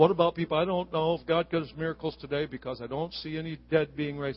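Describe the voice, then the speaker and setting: In an animated, warm tone, a man talks at a fairly quick pace with a fairly high voice. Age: 60s. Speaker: visiting preacher. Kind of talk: sermon. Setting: church with congregation.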